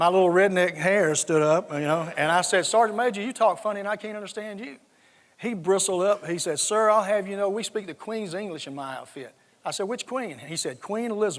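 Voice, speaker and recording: Speaking at a fairly quick pace with a slight Southern US accent, a man has a high pitch and ordinary pitch variation. His loudness swings widely, on a very clean recording with a silent background. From US South, South Georgia. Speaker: retired army general. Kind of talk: conference talk with anecdotes.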